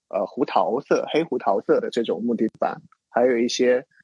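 The dry, close sound with no echo carries a man talking at a moderate pace. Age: 30s. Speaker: designer and illustrator, lifestyle blogger. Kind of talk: casual interview chat.

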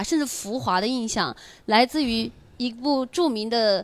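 A woman's high, animated voice with lively intonation at a fairly slow pace, in a very clean recording with a silent background. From rural village, not Beijing or Shanghai. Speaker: stand-up comedian and podcast co-host. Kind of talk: casual chat. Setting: live recording with audience.

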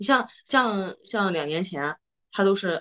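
This woman's medium-pitched voice moves through very wide pitch swings. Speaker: podcast co-host. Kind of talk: casual chat. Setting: studio.

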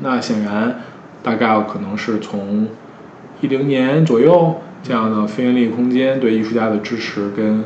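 A man at a medium pitch speaks with a Beijing accent, with audible room echo and noticeable background noise. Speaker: curator and artist. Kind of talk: interview conversation. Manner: hesitant, many fillers.

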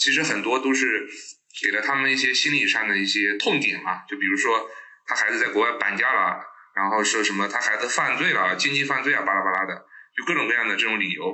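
A man's fairly quick speech, very even in loudness, with audible room echo and noticeable background noise. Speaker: internet industry professional, scam target. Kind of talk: interview storytelling.

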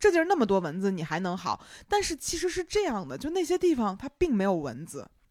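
Talking at a very fast pace in a Beijing accent, a woman uses a fairly high pitch with very wide pitch swings. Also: very clean recording, silent background. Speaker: podcast host. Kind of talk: casual chat.

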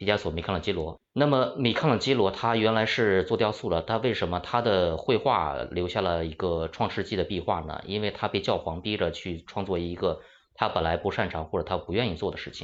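An unremarkable speaking voice from a man, fairly low in pitch, with ordinary pitch variation. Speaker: art historian. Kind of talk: panel discussion.

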